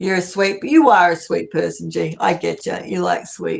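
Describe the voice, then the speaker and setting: A woman with an Australian accent, at a fairly slow pace. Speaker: live streamer. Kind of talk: casual chat. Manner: animated.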